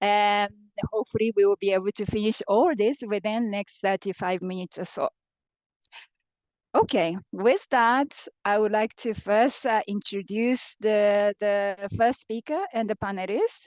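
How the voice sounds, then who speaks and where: A woman speaks with a Japanese accent at a medium pitch and a fairly slow pace, her intonation fairly even. The sound is dry and close with no echo, over a quiet background. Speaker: panel moderator. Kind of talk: moderating a panel discussion.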